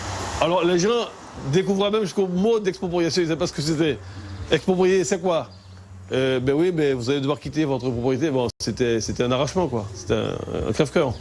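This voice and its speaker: Moderately paced, a man with a fairly high pitch speaks with very wide pitch swings. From French Guiana, Kourou. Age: 60s. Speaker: local resident interviewed. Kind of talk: interview testimony. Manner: halting with repetitions.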